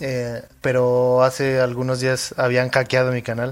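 Medium in pitch, this is a man's voice. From Mexico. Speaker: music YouTuber. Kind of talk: interview conversation. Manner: halting, many fillers.

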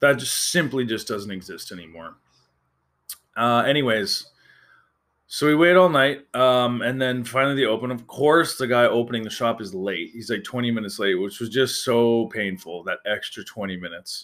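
Recorded very cleanly against a silent background, a man with a western Canadian accent and a medium pitch speaks at a moderate pace in an animated tone with lively intonation. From Calgary, Alberta, Canada. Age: 30s. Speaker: podcast host. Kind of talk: casual storytelling monologue.

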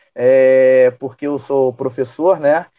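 A man's dark, mellow tone, dry and close with no echo. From Rio de Janeiro, Brazil. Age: 40s. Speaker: teacher, football fan. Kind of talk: casual chat.

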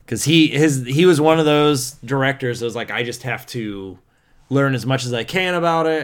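In a very clean recording with a silent background, a man with an ordinary speaking voice talks at a moderate pace with ordinary pitch variation. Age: 30s. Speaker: film podcast co-host, teacher. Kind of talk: casual chat.

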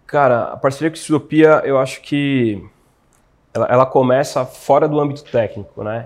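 This man has an unremarkable speaking voice. He keeps a moderate pace and fairly even intonation. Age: 20s. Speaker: physiotherapist. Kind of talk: interview. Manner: casual, slangy.

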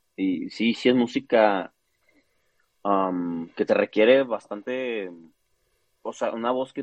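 A man with a northern Mexican accent, talking at a very slow pace with ordinary pitch variation. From northern Mexico, Chihuahua. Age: 30s. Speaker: opera singer. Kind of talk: interview.

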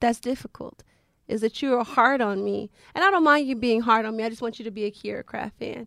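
In an ordinary speaking voice, a woman talks at a fairly quick pace with a fairly high pitch, ordinary pitch variation and big swings in loudness, recorded with a dry, close sound with no echo. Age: 40s. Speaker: podcast co-host. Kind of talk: casual chat.

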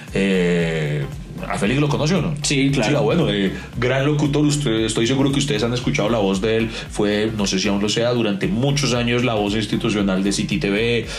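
A man of medium pitch at a moderate pace, lively in intonation and very even in loudness, with audible room echo and noticeable background noise. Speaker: podcast co-host. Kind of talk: casual chat. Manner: animated.

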